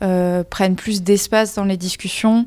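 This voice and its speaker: Over a silent background on a very clean recording, a woman speaks at a very slow pace in a dark, mellow tone at medium pitch. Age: 20s. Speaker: engineering student. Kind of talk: podcast interview. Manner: hesitant, many fillers.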